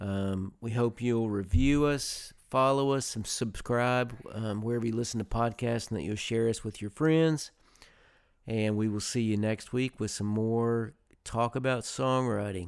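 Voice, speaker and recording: With an ordinary speaking voice, a man talks at a fairly slow pace and a medium pitch, his intonation fairly even. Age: 50s. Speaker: podcast host, songwriter. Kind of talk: casual interview chat; podcast intro and outro.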